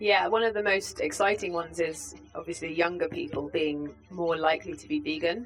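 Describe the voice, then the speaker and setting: With a British accent, the speaker moves at a fairly quick pace, using lively intonation and big swings in loudness over noticeable background noise. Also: woman, fairly low pitch for a woman. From UK. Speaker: vegan organisation campaigns head. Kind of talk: interview. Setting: festival.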